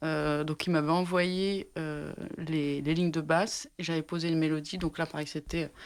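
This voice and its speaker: Her pitch very deep and low, a woman talks fairly slowly in a monotone, flat intonation on a very clean recording with a silent background. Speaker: singer-songwriter. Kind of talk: interview answer.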